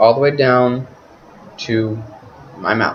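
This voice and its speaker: A man speaks at a very slow pace as noticeable background noise carries on around him. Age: 20s. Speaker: vlogger. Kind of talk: webcam monologue. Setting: talking to webcam at home. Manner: halting, with pauses.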